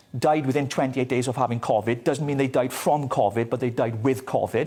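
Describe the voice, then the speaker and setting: A man with a Welsh accent talks at a fairly quick pace in a medium, somewhat breathy voice with ordinary pitch variation. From Wales. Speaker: political commentator. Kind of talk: TV news interview. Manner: fast.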